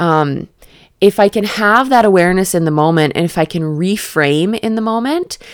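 A woman's fairly low voice with lively intonation at a moderate pace, the sound dry and close with no echo. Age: 30s. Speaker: podcast host and energy healer. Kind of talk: casual solo chat. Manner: hyperactive, rambling delivery; halting, many fillers.

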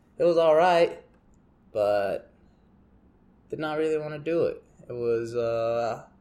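Mumbling in a dark, mellow tone, a man speaks at a fairly high pitch. Long, frequent pauses break up his speech. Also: ordinary pitch variation, fairly slow pace. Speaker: podcaster. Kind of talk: casual monologue.

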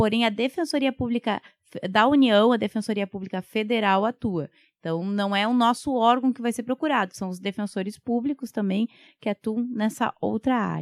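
A woman with an ordinary speaking voice talks at a moderate pace, her fairly high pitch showing ordinary pitch variation, in a very clean recording with a silent background. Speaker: public defender. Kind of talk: interview.

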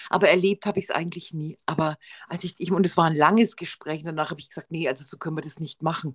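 Talking at a very fast pace, a woman with a fairly low pitch keeps her intonation fairly even while her loudness swings widely, in a dry, close sound with no echo. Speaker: podcast co-host. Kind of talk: casual chat.

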